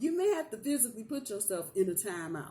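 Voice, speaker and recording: Noticeable background noise runs beneath talking delivered at a moderate pace. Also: woman. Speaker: tarot reader. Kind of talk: tarot reading. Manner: casual.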